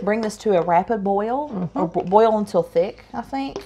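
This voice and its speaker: Speaking with an Appalachian accent, a woman talks at a moderate pace and ordinary pitch variation against noticeable background noise. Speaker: home cook. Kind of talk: casual cooking demonstration.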